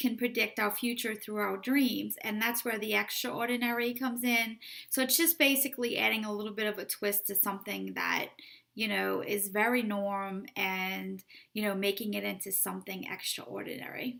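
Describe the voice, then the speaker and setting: A woman speaks with a New Orleans accent at a moderate pace. Her tone is bright and sharp, and her pitch is fairly high. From New Orleans, US South. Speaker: romance author. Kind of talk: casual book promotion vlog.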